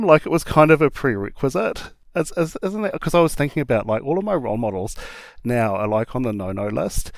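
A man speaks in a New Zealand accent at a fairly high pitch. His pitch swings very widely. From small-town New Zealand (Hamilton area). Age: 40s. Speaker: drag performer. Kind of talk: interview.

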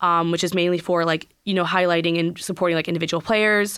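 A woman speaks at a fairly low pitch in a bright, sharp tone. Her intonation is monotone and flat. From US Midwest (Minnesota), then Virginia. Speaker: lacrosse player. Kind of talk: radio interview. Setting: studio.

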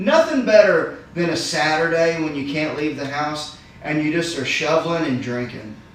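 A man's fairly high voice moves at a moderate pace with ordinary pitch variation, noticeable background noise underneath. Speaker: podcast host. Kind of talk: casual chat. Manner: animated.

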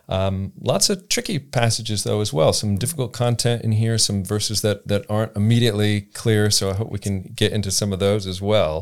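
A man speaks fairly quickly in a normal speaking voice, with hardly any pauses. His pitch is fairly low and his intonation fairly even. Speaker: theology lecturer, preacher. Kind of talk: academic conversation.

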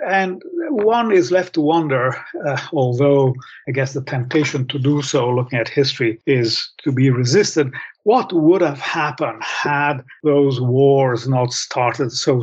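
Ordinary pitch variation in a fairly high, somewhat breathy male voice. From Italy, Rome. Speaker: author and professor. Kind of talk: interview.

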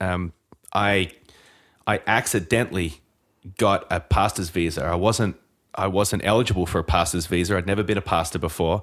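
A man with a very deep, low pitch speaks at a moderate pace. His intonation stays fairly even, broken by long, frequent pauses. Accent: Australian. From Australia. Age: 40s. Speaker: pastor and author.

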